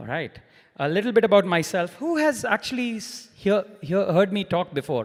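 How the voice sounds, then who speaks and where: Loud and high-pitched, a man speaks with very wide pitch swings. He keeps a moderate pace. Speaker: solution engineer, conference speaker. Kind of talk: conference talk. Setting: stage with audience.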